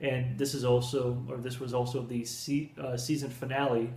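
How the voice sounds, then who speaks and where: A man's voice comes with audible room echo. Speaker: film reviewer. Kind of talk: casual review chat. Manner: halting with fillers.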